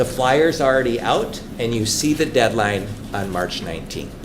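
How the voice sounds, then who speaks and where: A man's medium-pitched voice comes through noticeable background noise and audible echo from the room. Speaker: superintendent search consultant. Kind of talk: presentation to school board. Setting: school board meeting.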